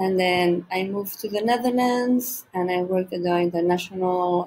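This woman's voice has ordinary pitch variation. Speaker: teacher presenter. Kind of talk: presentation talk. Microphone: webcam.

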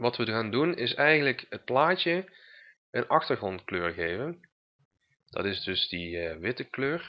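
At a very slow pace, a man speaks at medium pitch with very wide pitch swings. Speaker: web design tutor. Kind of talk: tutorial screencast. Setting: screen recording, computer. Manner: halting, many fillers.

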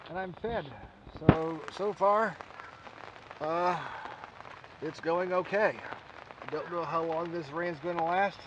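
A man's high-pitched voice with fairly even intonation, over noticeable background noise. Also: dry sound with no echo. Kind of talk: casual vlog chat. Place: tent. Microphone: phone near.

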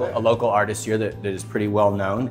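Faint music sits in the background. Over it, the man's words come very fast. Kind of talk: interview answer. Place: cafe.

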